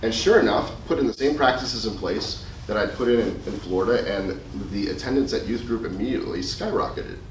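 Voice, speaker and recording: A man talking fairly quickly with an American accent, with audible room echo and noticeable background noise. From US Midwest, Chicago. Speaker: youth minister. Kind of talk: presentation to youth ministers. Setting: conference presentation with audience. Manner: fast.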